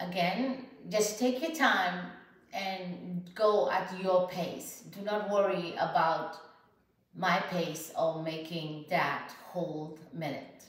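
Calm, soothing tone from a woman at a fairly low pitch, very slow pace and ordinary pitch variation, with audible room echo. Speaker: health coach and podcaster. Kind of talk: guided breathing exercise demonstration; guided meditation. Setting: home video, sitting on a yoga mat. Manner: calm, slow, instructional; soothing, measured, with pauses between cues. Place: home room. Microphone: camera far.

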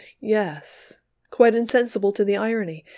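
An unforced reading voice carries fairly even intonation. The background is quiet.

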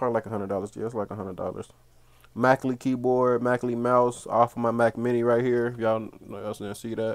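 Over a quiet background, a man speaks at a very fast pace in a monotone, flat intonation. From Cincinnati, Ohio; Ohio. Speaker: gaming YouTuber. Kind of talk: room tour video. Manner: casual. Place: home room. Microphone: phone near.

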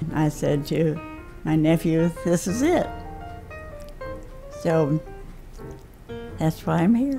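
A woman's fairly low voice at a very slow pace, with lively intonation, very even loudness, long and frequent pauses, and clear music in the background. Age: 80s+. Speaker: assisted living resident. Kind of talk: interview answer. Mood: warm, pleased. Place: home room.

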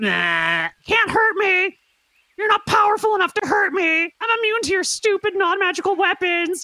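Extremely high pitch in a put-on character voice, moderately paced. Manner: taunting, boastful.

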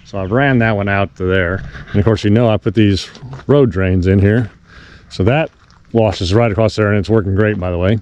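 This man talks very fast at a fairly low pitch. The sound is dry with no echo, over light background noise. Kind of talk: casual vlog chat. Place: open country. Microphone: phone near.

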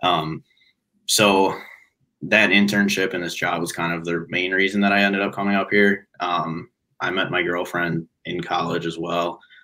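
Against a quiet background, a man speaks in a very deep, low voice with a bright, sharp tone and flat, monotone intonation. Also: moderate pace. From Chicago suburbs, Illinois; Illinois. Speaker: angler and recent college graduate; podcast guest. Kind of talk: casual interview chat. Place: home room.

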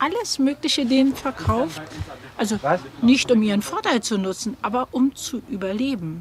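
Speaking fairly slowly with a high pitch, a woman is heard in a dry sound with no echo over light background noise. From Germany. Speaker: acquaintance of the subject. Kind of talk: documentary interview. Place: shop.

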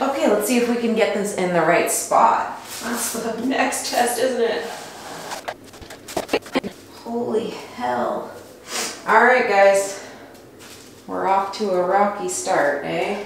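Speech comes at a very slow pace with long, frequent pauses. Strong room echo and light background noise fill the recording. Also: woman. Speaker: DIY home renovation vlogger. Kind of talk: casual vlog chat. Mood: wry, mildly frustrated then pleased. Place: bathroom. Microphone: camera far.

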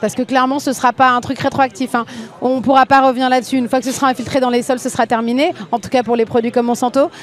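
Very fast and monotone, a woman's high voice sounds dry with no echo, over light background noise. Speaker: activist TV show host. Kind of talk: casual interview. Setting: outdoor street studio. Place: street. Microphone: handheld.

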